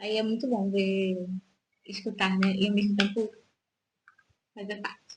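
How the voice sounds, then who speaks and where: A woman talks at a fairly slow pace, with long, frequent pauses. Her voice is somewhat breathy, with a monotone, flat intonation. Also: medium pitch for a woman. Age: 30s. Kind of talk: casual radio chat. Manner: hesitant, many fillers.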